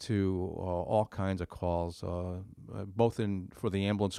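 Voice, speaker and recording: The speaker has an American accent and a dark, mellow tone. Delivery is fairly slow and monotone, flat, over a quiet background. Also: man. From Connecticut, Derby. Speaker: retired fire chief. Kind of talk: interview. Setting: studio.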